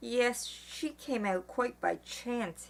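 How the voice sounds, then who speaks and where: A husky, female-sounding put-on character voice is pitched high for a woman. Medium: read story. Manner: nervous, hesitant, stammering.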